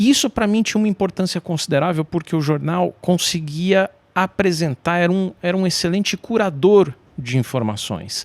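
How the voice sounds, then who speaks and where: A man's high-pitched voice with lively intonation at a moderate pace, in a dry, close sound with no echo. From Brazil, São Paulo. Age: 40s. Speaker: journalist. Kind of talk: interview conversation.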